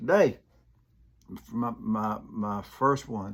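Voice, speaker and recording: In a very clean recording with a silent background, a man with an Alabama accent speaks at a fairly low pitch. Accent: US Southern (Alabama). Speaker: comedian and Army veteran. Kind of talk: casual monologue. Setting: home room, filmed in one take. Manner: halting, repeated words.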